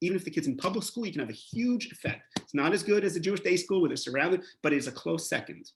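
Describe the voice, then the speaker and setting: Lively intonation marks a man's high-pitched speech. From Canada, Montreal. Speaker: rabbi and educator. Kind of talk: lecture. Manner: animated.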